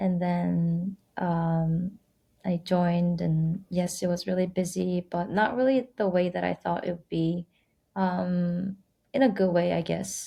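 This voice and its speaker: A woman with a Korean accent talks at a fairly slow pace in a fairly low pitch, her somewhat breathy voice dark and mellow, the intonation fairly even. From Korea (Seoul). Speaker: former journalist, business school student. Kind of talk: casual chat.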